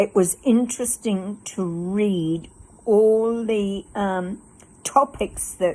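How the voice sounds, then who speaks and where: A woman's medium-pitched voice with an Australian accent and ordinary pitch variation. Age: 80s+. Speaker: fitness client. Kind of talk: testimony. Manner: halting.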